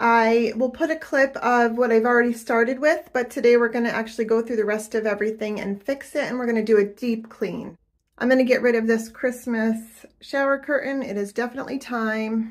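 A woman speaks at a moderate pace with fairly even intonation against a quiet background. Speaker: home cleaning vlogger. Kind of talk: casual vlog chat. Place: bathroom. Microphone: phone near.

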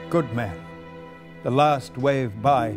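Music plays in the background as a man speaks at a very slow pace with lively intonation. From Wales. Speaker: actor. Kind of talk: poetry reading. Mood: grave, intense, solemn. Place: studio.

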